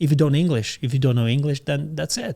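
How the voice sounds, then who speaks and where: Heard on a very clean recording with a silent background, a man with a non-native accent speaks in a dark, mellow tone at a fairly high pitch. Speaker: podcast host. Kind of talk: casual interview chat.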